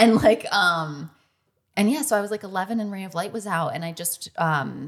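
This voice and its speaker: In a very clean recording with a silent background, a woman with an American accent speaks in a plain, everyday voice at a moderate pace with ordinary pitch variation. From US Midwest, Michigan. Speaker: music superfan. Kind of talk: casual chat.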